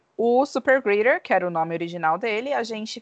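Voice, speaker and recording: In a normal speaking voice, a woman talks at a moderate pace with fairly high pitch and lively intonation, the sound dry and close with no echo against a quiet background. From Brazil, Bauru, interior of São Paulo state. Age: 30s. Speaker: podcast co-host, travel consultant. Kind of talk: casual chat.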